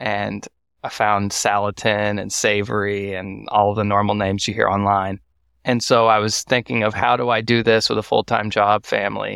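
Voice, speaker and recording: In a very clean recording with a silent background, a man with a Texan accent speaks at a moderate pace, his fairly low pitch delivered in a monotone, flat intonation. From Texas, Waco. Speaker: first-generation cattle farmer. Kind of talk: casual interview.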